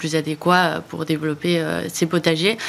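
A woman speaks at a fairly slow pace. Her fairly low voice stays monotone and flat. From Spain, Barcelona. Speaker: startup founder. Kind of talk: interview.

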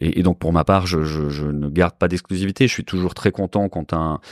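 Captured in a very clean recording with a silent background and a dry, close sound with no echo, a man speaks in a very deep, low voice. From Switzerland, then Paris from age 14. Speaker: commercial real estate broker, company founder. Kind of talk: interview. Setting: in person, recorded in Bordeaux. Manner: hesitant, frequent word repetitions.

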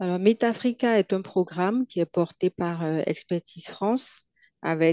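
In a dry, close sound with no echo, a woman speaks at a fairly slow pace and fairly low pitch with ordinary pitch variation. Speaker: consultant and entrepreneur. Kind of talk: interview.

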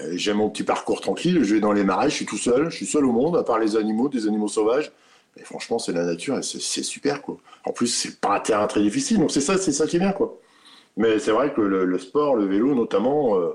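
Talking fairly quickly at a medium pitch, a man has an ordinary speaking voice. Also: lively intonation. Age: 50s. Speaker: truck driver and patient. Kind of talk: testimony.

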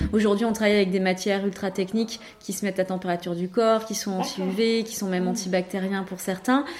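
Against noticeable background noise, a woman at medium pitch talks fairly quickly with fairly even intonation and hardly any pauses. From Var, southern France (Hyères). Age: 30s. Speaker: entrepreneur, cancer survivor. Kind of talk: casual interview. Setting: in person at guest's office.

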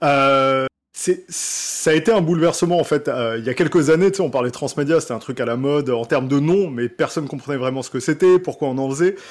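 A man with an ordinary speaking voice, fairly high in pitch, talks at a fairly quick pace with hardly any pauses and ordinary pitch variation. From France, Alsace. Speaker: video game transmedia director. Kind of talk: casual chat.

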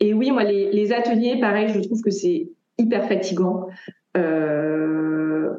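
This woman's voice has a dark, mellow tone and a fairly high pitch. Her intonation is lively, and she speaks at a very slow pace. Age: 30s. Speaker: tarot reader. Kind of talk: interview.

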